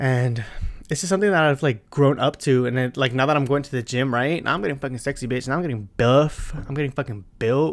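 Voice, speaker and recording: The background is silent and the recording very clean. A man talks very fast, with ordinary movement in pitch. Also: medium pitch for a man. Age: 20s. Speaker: podcaster. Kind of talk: angry rant, profane and sassy, fired off like a venting monologue. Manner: fast, animated, emphatic, heavily cursing with attitude; defiant, unfiltered, blunt and casual slang-heavy.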